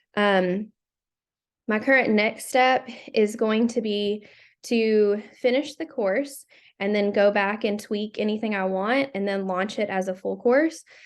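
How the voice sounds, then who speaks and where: A woman speaks at a fairly slow pace with a fairly high pitch and a plain, everyday voice. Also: ordinary pitch variation, quiet background. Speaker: career and tech teacher presenting a class project. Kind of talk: class presentation.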